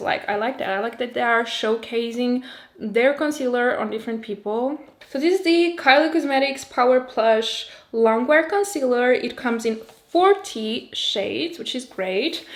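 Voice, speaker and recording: A woman talks at a moderate pace in a high voice with lively intonation. Noticeable background noise is present. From Portugal. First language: Portuguese. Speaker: beauty youtuber. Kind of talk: product review. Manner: casual, chatty.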